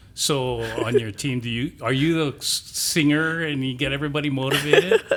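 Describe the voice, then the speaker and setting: Fairly quick delivery with fairly even intonation over noticeable background noise. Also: man, fairly high pitch for a man. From Hawaii. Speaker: podcast host. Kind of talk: casual interview. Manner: relaxed, conversational.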